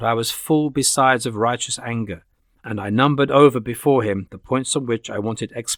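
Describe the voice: The background stays quiet. Plain reading aloud comes with ordinary pitch variation.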